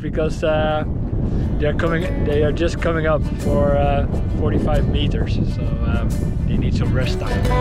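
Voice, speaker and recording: There is music in the background as a man talks at a moderate pace. The sound is dry, with no echo. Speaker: sailing family vlogger. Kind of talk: casual vlog chat. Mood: cheerful, storytelling. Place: boat. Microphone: phone near.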